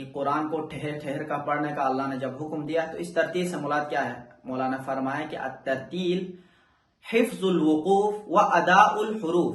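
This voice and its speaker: This man has a plain, everyday voice. It sits fairly high and shows ordinary pitch variation. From Pakistan. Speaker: Quran teacher and Islamic scholar. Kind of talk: religious lesson to camera.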